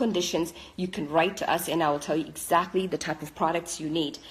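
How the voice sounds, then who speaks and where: A woman whose pitch is very deep and low talks at a fairly quick pace against noticeable background noise. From Italy. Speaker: skincare business owner. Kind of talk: live stream Q&A. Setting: living room, home.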